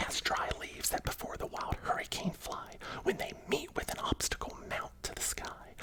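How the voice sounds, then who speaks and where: A man whispers at a moderate pace. Noticeable background noise can be heard behind him. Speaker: ASMR content creator. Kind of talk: whispered ASMR storybook reading. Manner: whispered, soft, cozy.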